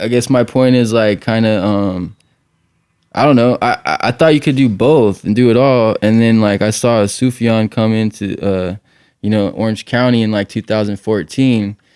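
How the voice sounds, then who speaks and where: With an ordinary speaking voice, a man talks at a moderate pace and medium pitch, using ordinary pitch variation. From Redlands, California. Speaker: podcast host. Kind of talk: casual chat.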